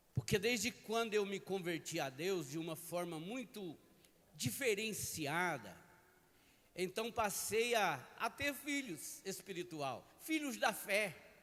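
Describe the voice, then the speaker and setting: Very wide pitch swings mark this man's high voice, which has a bright, sharp tone. He speaks at a very slow pace. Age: 60s. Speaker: pastor. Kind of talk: sermon. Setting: church.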